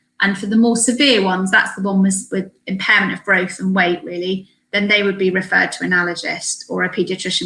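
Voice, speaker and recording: This woman has a British accent and a medium pitch. She talks at a very fast pace. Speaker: allergy specialist speaker. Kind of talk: webinar presentation. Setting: online webinar.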